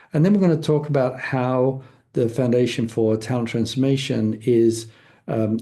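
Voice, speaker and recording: A somewhat breathy male voice, dark and mellow in tone, medium in pitch, at a moderate pace with ordinary pitch variation. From England, London. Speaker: foundation leader, guest speaker. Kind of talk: presentation. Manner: halting, many fillers.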